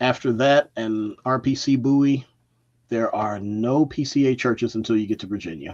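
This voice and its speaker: Speaking with an American accent, a man uses a medium pitch and ordinary pitch variation. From Baltimore, Maryland, US. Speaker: podcast guest. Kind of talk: casual chat.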